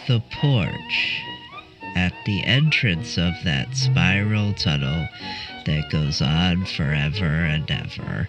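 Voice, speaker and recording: Over clear music in the background, a man does a cartoonish character voice with a very deep, low pitch at a very slow pace. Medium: puppet.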